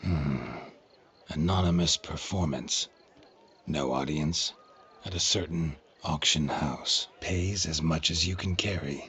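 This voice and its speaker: A man puts on a character voice, pitched very deep and low. He delivers it at a fairly slow pace. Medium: machinima. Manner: terse, dry.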